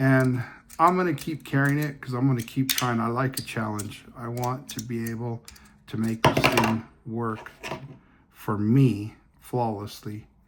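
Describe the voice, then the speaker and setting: Over noticeable background noise, a man talks in a medium pitch at a fairly slow pace with fairly even intonation. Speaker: fidget toy reviewer. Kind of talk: casual product review video. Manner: hesitant, many fillers and restarts.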